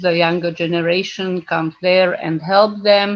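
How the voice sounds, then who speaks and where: Speaking at a fairly slow pace, a woman keeps a medium pitch and fairly even intonation over noticeable background noise. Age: 70s. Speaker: senior organisation member. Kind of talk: meeting presentation. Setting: video call. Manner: halting.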